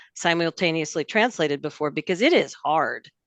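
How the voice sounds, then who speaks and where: Against a quiet background, a woman has an unremarkable speaking voice at a fairly low pitch with ordinary pitch variation. The sound is dry and close with no echo. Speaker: ophthalmologist. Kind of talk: panel discussion.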